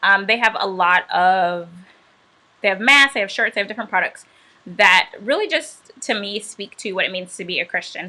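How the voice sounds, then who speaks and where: Moderate-paced speech with an American accent and ordinary pitch variation. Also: woman, medium pitch for a woman. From Atlanta, US South. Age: 30s. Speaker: chef and cookbook author. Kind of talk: livestream book launch talk. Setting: livestream. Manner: casual, relaxed.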